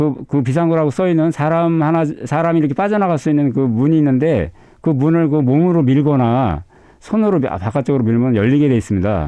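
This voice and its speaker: Fairly high male voice at a fairly quick pace, lively in intonation and very even in loudness. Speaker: firefighter. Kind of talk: interview. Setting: studio. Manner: halting.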